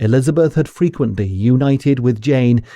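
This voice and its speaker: A man speaks in an ordinary speaking voice at a medium pitch with ordinary pitch variation, against a quiet background. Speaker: audiobook narrator. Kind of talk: audiobook reading of a classic novel.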